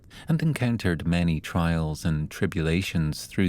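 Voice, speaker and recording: In a Scottish accent, a man with a very deep, low pitch and a dark, mellow tone speaks at a fairly slow pace with ordinary pitch variation. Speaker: storyteller. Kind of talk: sleep story.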